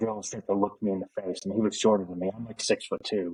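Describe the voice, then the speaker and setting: The sound is dry and close, with no echo. The speech comes at a very fast pace. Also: man. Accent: American. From Oklahoma. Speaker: Air Force veteran, author. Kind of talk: casual chat.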